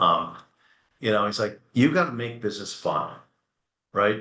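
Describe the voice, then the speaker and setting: A man's medium-pitched voice, bright and sharp in tone, animated and at a fairly quick pace. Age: 60s. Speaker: furniture company executive. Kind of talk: webinar interview.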